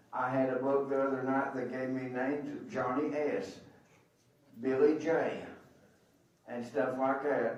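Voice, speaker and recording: Over noticeable background noise and audible room echo, a man speaks in a monotone, flat intonation with long, frequent pauses. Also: medium pitch for a man, fairly slow pace. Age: 70s. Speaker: official scorer. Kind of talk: public address to coaches. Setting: arena meeting with microphone.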